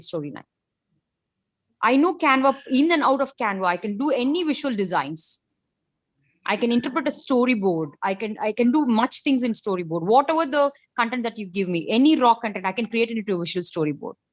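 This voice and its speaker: A woman in an Indian accent speaks at a very fast pace with a fairly high pitch and very wide pitch swings, on a very clean recording with a silent background. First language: not English. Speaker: senior instructional designer. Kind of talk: interview testimony. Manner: halting.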